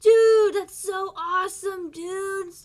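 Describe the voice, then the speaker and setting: This put-on character voice sits at an extremely high pitch, delivered in a flat monotone at a fairly slow pace. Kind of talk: casual slang.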